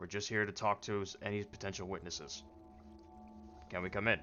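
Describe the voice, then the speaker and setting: Using a put-on character voice that is gruff and fairly low-pitched, a man speaks at a fairly quick pace over clear music in the background. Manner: official, authoritative.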